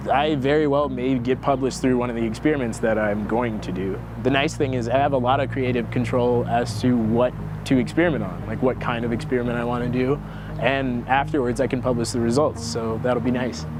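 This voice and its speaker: A man with an American accent at a medium pitch and fairly quick pace, fairly even intonation, with noticeable background noise and audible room echo. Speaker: engineering student, research intern. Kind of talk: interview testimony. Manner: casual, conversational.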